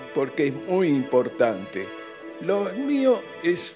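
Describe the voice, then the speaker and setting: A man's fairly high voice at a very slow pace, swinging very widely in pitch, with music in the background. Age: 80s+. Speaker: retired pediatric doctor. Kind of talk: interview answer.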